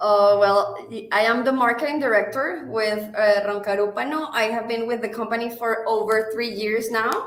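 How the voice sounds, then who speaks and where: Delivered at a moderate pace with fairly even intonation, the voice carries audible room echo. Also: woman, fairly high pitch for a woman. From Venezuela. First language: Spanish. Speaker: marketing director. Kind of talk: live stream interview. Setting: online live stream.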